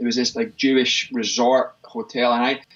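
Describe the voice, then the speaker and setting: In a Scottish accent, a man speaks with very wide pitch swings. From Scotland, Livingston near Glasgow. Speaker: fitness expert and gym owner. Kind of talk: interview conversation.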